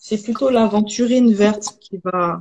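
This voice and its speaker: This woman has a fairly high pitch, a somewhat breathy sound and fairly even intonation. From Haiti. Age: 30s. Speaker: holistic hair therapist and entrepreneur. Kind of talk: live video interview. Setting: livestream.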